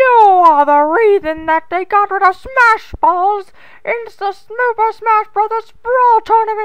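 A cartoonish character voice at a fairly slow pace, with ordinary pitch variation. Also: woman, extremely high pitch for a woman. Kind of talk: parody abridged dub. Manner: gleeful, gloating, childishly triumphant.

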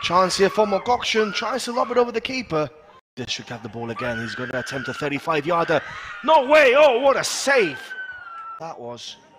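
A man with a high pitch at a moderate pace, with very wide pitch swings and big swings in loudness, over noticeable background noise. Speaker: football commentator. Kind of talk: live sports commentary. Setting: outdoors at stadium, live match. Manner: chatty, laughs and banters.

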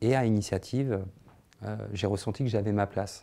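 A man speaks at a moderate pace in a dark, mellow tone with fairly even intonation. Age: 30s. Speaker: social care manager, training graduate; social educator. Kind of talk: testimonial interview. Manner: hesitant, many fillers. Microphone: lapel.

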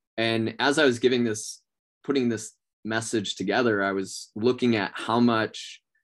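Against a quiet background, a man in a normal speaking voice talks at a moderate pace, his pitch fairly low and his intonation fairly even. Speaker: sales trainer. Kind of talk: training talk. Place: home room. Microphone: video call.

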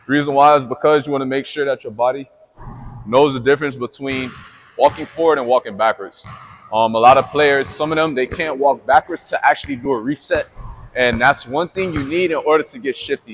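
Light background noise sits under the speech. The pace is fairly quick, with ordinary pitch variation. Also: man. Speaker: basketball trainer. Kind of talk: tutorial. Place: hall.

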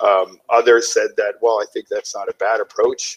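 Against a quiet background, a man speaks with a Canadian accent at a moderate pace. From northern British Columbia coast, Canada. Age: 40s. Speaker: guest. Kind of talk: interview. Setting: video call from home kitchen. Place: home room. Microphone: headset.

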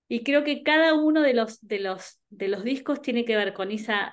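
A woman speaks at a fairly slow pace with lively intonation against a quiet background. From Argentina, Buenos Aires (early years in Ayacucho); Buenos Aires, Argentina. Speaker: singer; interviewee. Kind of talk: interview. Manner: halting, many repetitions and fillers. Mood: warm, friendly. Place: home room. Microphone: video call.

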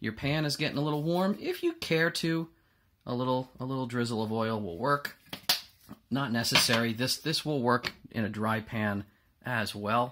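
Over light background noise, a man keeps a moderate pace and ordinary pitch variation. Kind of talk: tutorial. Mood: relaxed, casual. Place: kitchen. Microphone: camera far.

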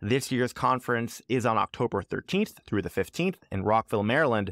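Lively intonation marks this man's moderate-paced speech. The sound is dry with no echo, and the background is quiet. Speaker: podcast host. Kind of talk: podcast announcements and intro.

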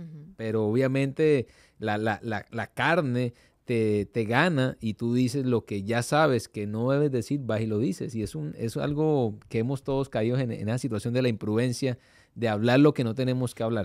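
Against a quiet background, a man speaks at a medium pitch and moderate pace with ordinary pitch variation, the sound dry with no echo. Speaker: pastor. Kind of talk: devotional talk. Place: studio. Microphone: studio mic.

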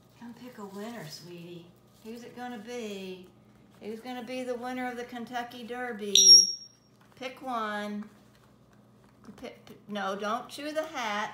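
The speaker goes at a fairly slow pace with ordinary pitch variation, leaving long, frequent pauses, and the loudness swings widely. Light background noise and audible room echo are in the recording. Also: woman. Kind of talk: casual talk to a pet. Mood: playful, coaxing. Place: kitchen. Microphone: phone near.

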